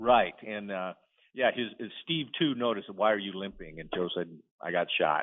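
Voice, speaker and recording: A man speaks in a plain, everyday voice with fairly low pitch and lively intonation. His loudness swings widely. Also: moderate pace. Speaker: novelist. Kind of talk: casual interview.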